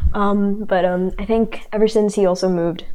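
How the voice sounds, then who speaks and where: A woman's medium-pitched voice. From Indonesia, Jakarta. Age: 18. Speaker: boarding school student. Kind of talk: casual chat.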